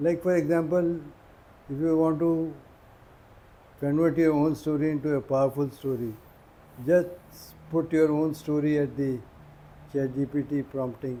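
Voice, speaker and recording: Pausing long and often, a man speaks at a moderate pace in a fairly high, dark, mellow voice with fairly even intonation. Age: 70s. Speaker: author and storyteller, retired engineer. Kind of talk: interview on stage. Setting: club meeting with audience.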